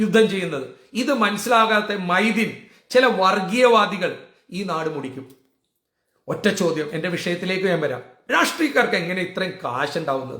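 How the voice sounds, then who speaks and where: A man talks in a raised, projected voice with an animated tone and very wide pitch swings. Room echo is audible. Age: 60s. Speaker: political vlogger. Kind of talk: political rant.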